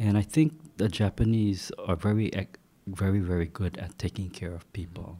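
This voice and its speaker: On a very clean recording with a silent background, a man with a very deep, low pitch and a dark, mellow, somewhat breathy tone speaks at a fairly slow pace with ordinary pitch variation. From Hawaii (Hilo). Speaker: market researcher and former reporter. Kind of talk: interview. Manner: relaxed, with frequent fillers.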